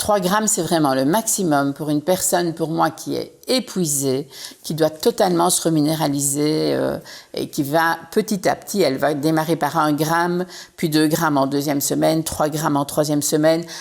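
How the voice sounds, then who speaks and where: This woman's voice sits very deep and low. She talks at a moderate pace with ordinary pitch variation. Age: 60s. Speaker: entrepreneur. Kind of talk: casual chat.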